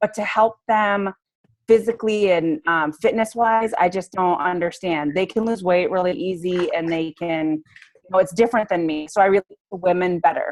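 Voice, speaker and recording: With a dry, close sound and no echo, this woman uses an ordinary speaking voice at a moderate pace and medium pitch. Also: ordinary pitch variation. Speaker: fitness coach. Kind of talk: training call. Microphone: poor connection.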